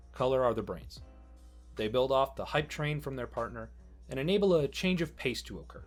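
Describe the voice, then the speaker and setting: A man at a moderate pace, music in the background. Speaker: guest narrator. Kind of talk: educational narration.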